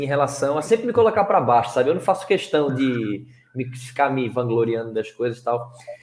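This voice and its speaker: A man with a Pernambuco accent speaks in a dark, mellow tone. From Recife, Pernambuco, Brazil. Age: young. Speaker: reality show contestant and speaker. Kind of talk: casual interview.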